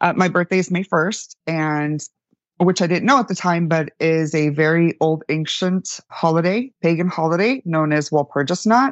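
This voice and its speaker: In an American accent, a woman speaks with an unremarkable speaking voice, ordinary pitch variation and very even loudness. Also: fairly low pitch for a woman, moderate pace. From El Paso, Texas, then Central Florida. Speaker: numerologist. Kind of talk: interview.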